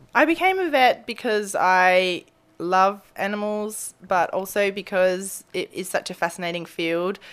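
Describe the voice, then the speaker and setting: In an Australian accent, a woman speaks fairly slowly at a medium pitch with ordinary pitch variation, on a very clean recording with a silent background. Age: 30s. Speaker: veterinarian. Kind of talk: casual interview. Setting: animal hospital treatment area.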